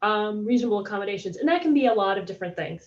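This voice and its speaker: With ordinary pitch variation, a woman's voice sits fairly high. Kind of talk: panel discussion. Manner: fast; halting.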